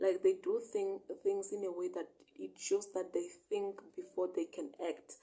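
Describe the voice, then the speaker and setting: A woman's fairly slow speech with a non-native accent. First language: not English. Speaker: bible teacher. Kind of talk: bible study reading and interpretation. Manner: halting, self-correcting.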